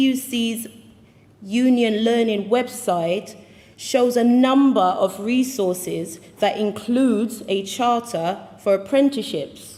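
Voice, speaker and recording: Audible room echo surrounds a woman with a British accent who speaks very slowly at a fairly high pitch with ordinary pitch variation. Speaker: union delegate. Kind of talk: conference speech.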